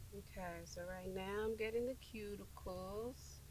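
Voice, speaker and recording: A woman is speaking. Her pace is fairly slow. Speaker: nail tech. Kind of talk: tutorial. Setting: outdoors. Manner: casual.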